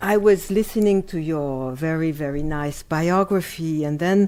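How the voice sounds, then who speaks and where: A woman's fairly low voice with a French accent, at a very slow pace with ordinary pitch variation. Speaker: art critic and lecturer. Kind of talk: lecture. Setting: lecture hall with audience.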